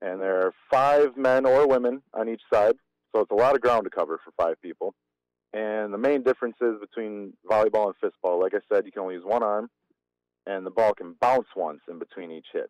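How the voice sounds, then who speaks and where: A man with a normal speaking voice and an American accent uses a medium pitch and ordinary pitch variation, recorded dry and close with no echo. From Wisconsin, Germantown. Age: 30s. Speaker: fistball player. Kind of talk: casual interview.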